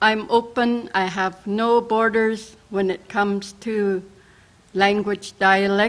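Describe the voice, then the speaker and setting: Delivered in a British Columbia accent, the speech is monotone and flat in intonation and moves at a very slow pace. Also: woman, medium pitch for a woman. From northern British Columbia, Wet'suwet'en area. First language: Wet'suwet'en. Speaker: First Nations language educator. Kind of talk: personal introduction speech. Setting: virtual assembly broadcast.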